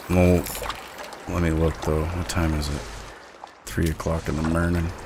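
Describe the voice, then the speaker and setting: With an American accent, a man speaks at a very deep, low pitch in monotone, flat intonation amid noticeable background noise. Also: moderate pace. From US West, northwest Montana. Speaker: gaming streamer. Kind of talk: casual chat. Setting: live stream with voice chat party. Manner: loud.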